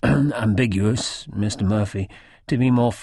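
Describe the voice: Plain reading aloud comes through, its pitch varying in an ordinary way.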